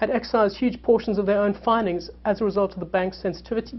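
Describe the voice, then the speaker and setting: A woman's medium-pitched voice with vocal fry, at a very fast pace with fairly even intonation. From South Africa. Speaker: journalist. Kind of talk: panel talk. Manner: halting, many fillers and repetitions.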